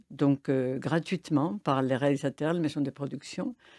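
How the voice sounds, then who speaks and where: A woman with a Spanish accent speaks at a moderate pace, her pitch varying in an ordinary way. The recording is very clean with a silent background, and the sound is dry and close with no echo. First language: Spanish (speaking French). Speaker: film festival director. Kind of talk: radio interview. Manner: hesitant, many fillers.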